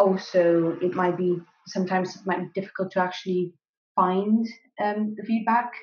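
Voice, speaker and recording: Amid audible room echo, a woman talks at a moderate pace in a monotone, flat delivery while her loudness swings widely. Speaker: graduate student. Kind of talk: interview. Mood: calm, thoughtful. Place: kitchen. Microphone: webcam.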